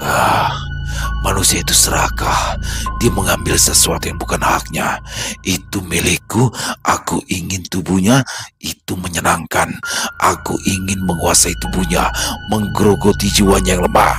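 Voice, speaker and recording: Over clear music in the background, a man uses a hoarse put-on character voice with a very deep, low pitch at a moderate pace. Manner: hateful.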